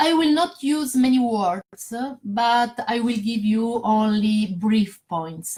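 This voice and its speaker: Very slowly, a woman with a fairly high pitch speaks with lively intonation. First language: not English. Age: 40s. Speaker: network marketer. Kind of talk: sales pitch. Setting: Facebook live stream. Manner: halting.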